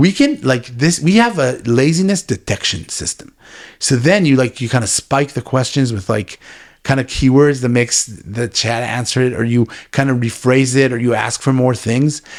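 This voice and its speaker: Animated in tone, a man speaks at a moderate pace. His medium pitch shows ordinary pitch variation. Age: 40s. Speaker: tech executive. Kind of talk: interview.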